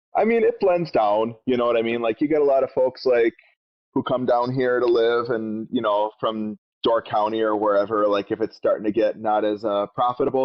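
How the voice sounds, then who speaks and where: With a Wisconsin accent, a man speaks at a medium pitch and a fairly quick pace. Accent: Wisconsin accent, gets a little thick. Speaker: podcast co-host. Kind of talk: casual podcast chat.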